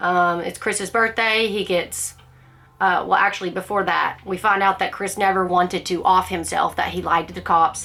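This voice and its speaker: An ordinary speaking voice from a woman, medium in pitch, at a moderate pace with fairly even intonation. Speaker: book club vlogger. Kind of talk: casual book discussion monologue.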